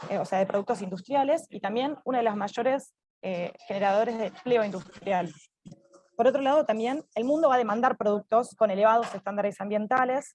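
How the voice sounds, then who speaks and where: A fairly high-pitched woman at a fairly quick pace, with ordinary pitch variation. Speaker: government official. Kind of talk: conference presentation. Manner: fast.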